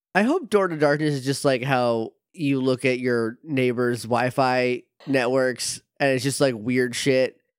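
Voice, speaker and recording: This man has a plain, everyday voice, a medium pitch and fairly even intonation, talking at a fairly slow pace in a dry, close sound with no echo. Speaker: podcast co-host learning the story. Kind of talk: casual chat.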